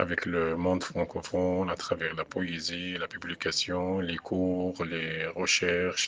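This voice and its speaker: With noticeable background noise, a man with a very deep, low voice speaks at a very slow pace in a monotone, flat delivery, with hardly any pauses. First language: Arabic (speaking French). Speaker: poet and French professor. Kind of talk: radio interview. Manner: halting, many hesitations.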